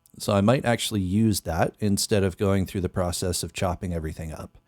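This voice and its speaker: A man speaks at a moderate pace with a very deep, low pitch and ordinary pitch variation. The background is quiet, and the sound is dry with no echo. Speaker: musician and streamer; streamer. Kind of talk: casual livestream chat while producing music. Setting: live stream. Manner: speaks a bit higher than natural.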